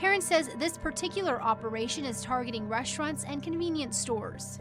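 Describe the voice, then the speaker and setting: A woman's high, lively voice at a fairly quick clip, with music in the background. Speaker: TV news anchor and reporter. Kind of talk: TV news package narration.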